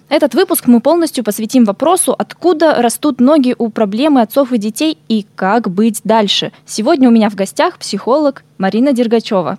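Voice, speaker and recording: A woman speaks with lively intonation at a moderate pace. Her pitch is fairly high and her tone is dark and mellow. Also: dry, close sound with no echo. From Siberia, Irkutsk. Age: 20s. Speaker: podcast host. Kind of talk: interview.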